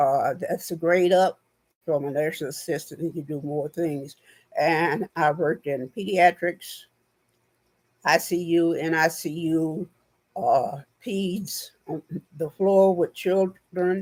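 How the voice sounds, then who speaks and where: Quiet, very slow speech with long, frequent pauses. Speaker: channel host, former nurse technician. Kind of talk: personal monologue vlog. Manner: halting, many fillers.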